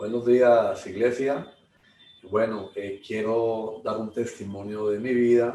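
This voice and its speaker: Very slow speech comes out in a monotone with flat intonation. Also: man, medium pitch for a man. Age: 60s. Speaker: churchgoer giving testimony. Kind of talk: testimony. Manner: halting.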